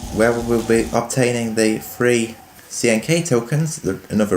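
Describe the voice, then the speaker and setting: A man's voice over noticeable background noise. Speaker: gaming YouTuber. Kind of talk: let's play gameplay commentary. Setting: living room, some echo.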